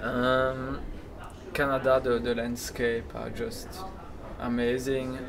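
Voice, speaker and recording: Over noticeable background noise, the speech comes at a very slow pace in a monotone, flat delivery with long, frequent pauses. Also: man, medium pitch for a man. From Belgium. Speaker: entrepreneur, sandwich shop founder. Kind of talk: interview answer.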